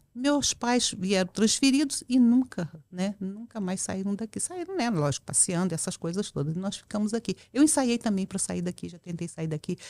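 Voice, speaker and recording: The recording of this medium-pitched woman is very clean with a silent background, the sound dry and close with no echo, and her intonation is lively. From central Brazil, Goiânia (born in Porto Velho). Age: 60s. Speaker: public official, women's rights activist. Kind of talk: casual interview chat. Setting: podcast studio. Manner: talkative.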